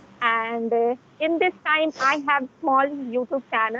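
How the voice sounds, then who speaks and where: The delivery is very slow, with ordinary pitch variation. The sound is dry and close with no echo, and there is noticeable background noise. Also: woman. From India, Delhi. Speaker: YouTuber practicing English. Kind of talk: casual conversation. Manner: halting.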